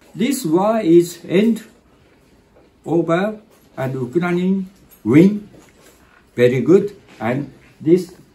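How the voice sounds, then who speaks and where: With a Japanese accent, a man speaks in a high pitch with a dark, mellow tone. His intonation is lively, and he leaves long, frequent pauses. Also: fairly slow pace. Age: 70s. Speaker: volunteer running a free cafe. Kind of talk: interview answer. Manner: broken, halting English. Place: kitchen. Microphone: phone near.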